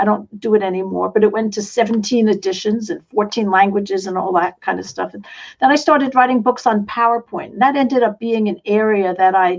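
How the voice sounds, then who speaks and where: Fairly quick speech with ordinary pitch variation, in a slight New York accent. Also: woman. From New York City. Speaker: online business coach and author. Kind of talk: interview.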